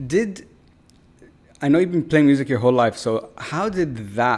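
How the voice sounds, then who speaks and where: Fairly high in pitch, a man with an unremarkable speaking voice talks at a moderate pace. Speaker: podcast host. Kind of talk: podcast host interview questions.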